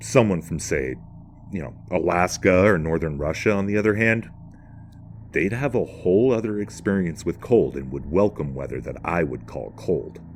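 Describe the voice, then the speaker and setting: A man with an American accent speaks at a moderate pace in a very deep, low pitch with vocal fry. His pitch swings very widely. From northern United States. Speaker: religion commentator. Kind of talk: spoken essay narration.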